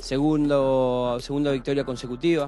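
Moderate pace from a man, light background noise, and a dry sound with no echo. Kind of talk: interview answer. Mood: pleased after a win. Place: open country. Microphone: handheld.

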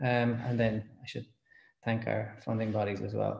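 A somewhat breathy voice with a dark, mellow tone is heard over light background noise, with audible room echo. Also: man. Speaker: speaker. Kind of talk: lecture. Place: home room. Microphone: webcam.

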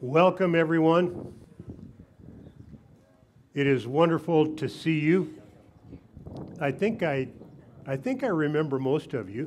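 A man with lively intonation and long, frequent pauses, over light background noise. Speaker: pastor. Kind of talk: worship welcome address. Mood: warm, welcoming. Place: stage.

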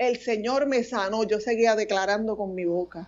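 A woman talks very slowly in a fairly high voice whose pitch varies in an ordinary way. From New Jersey, US (Puerto Rican-American). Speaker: pastor. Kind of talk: testimony. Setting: remote connection. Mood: earnest, emotional testimony. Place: home room. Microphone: earbuds.

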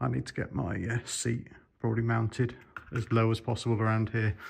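A man speaks at a moderate pace with a fairly low pitch. His voice is somewhat breathy. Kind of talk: casual explanatory vlog commentary. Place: workshop. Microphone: phone near.

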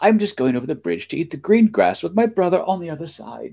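A fast put-on character voice with a dark, mellow tone, a slightly husky edge, vocal fry and big pitch swings. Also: man, fairly high pitch for a man.

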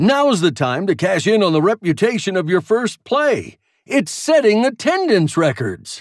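A man's put-on character voice, high-pitched with big pitch swings, at a fairly slow pace on a very clean recording with a silent background.

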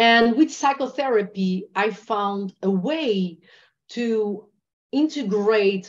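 Against a quiet background, a woman with a Portuguese accent speaks with ordinary pitch variation. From Portugal. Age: 40s. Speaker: trauma healing and meditation teacher. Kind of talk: interview. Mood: earnest, reflective. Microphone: video call.

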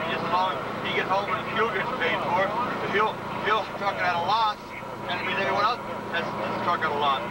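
Against loud background noise, a man talks at a fairly quick pace, the sound dry with no echo. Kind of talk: interview answer. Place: car. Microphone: old recording.

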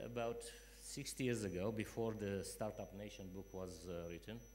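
The man talks at a fairly slow pace. His intonation stays fairly even.

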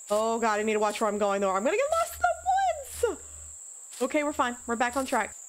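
A woman speaks at a fairly high pitch. Faint background noise can be heard.

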